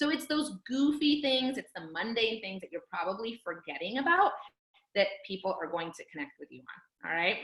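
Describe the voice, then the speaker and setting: A woman's fairly high voice moves through very wide pitch swings and big swings in loudness. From California, Fresno. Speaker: team coach. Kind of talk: team training call. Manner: fast; animated.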